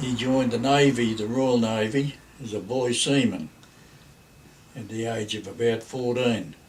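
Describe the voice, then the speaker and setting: Heard with audible room echo, a man with an Australian accent talks at a fairly slow pace and medium pitch, with ordinary pitch variation and long, frequent pauses. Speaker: grandparent telling family history. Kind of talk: oral history reminiscence. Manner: halting.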